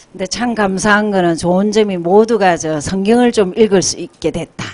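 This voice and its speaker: With a normal speaking voice, a woman speaks at a moderate pace and medium pitch with fairly even intonation. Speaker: Bible class teacher. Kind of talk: sermon-style teaching with interpreter.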